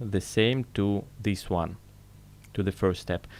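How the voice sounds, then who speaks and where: A man speaks in a non-native accent. The recording is very clean, with a silent background. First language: not English. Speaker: chainmaille tutorial maker. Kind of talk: tutorial. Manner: halting.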